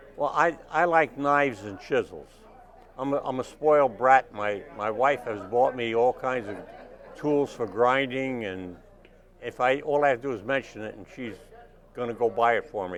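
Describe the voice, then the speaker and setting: Crowd noise sits in the background as a man talks at a moderate pace. His medium pitch shows ordinary variation, with big swings in loudness. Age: 80s+. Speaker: wood carver. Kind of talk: interview answer at expo. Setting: expo.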